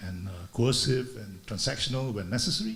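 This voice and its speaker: Audible room echo surrounds the speech of a man. He sounds somewhat breathy and moves at a fairly quick pace. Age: 70s. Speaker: retired business executive, speaker. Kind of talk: talk at a leadership conference. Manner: halting, many fillers.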